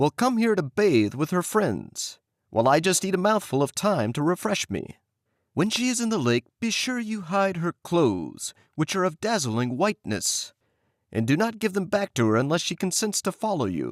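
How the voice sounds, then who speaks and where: A put-on character voice from a man, high-pitched and at a moderate pace, on a very clean recording with a silent background. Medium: read story. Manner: kindly, advising.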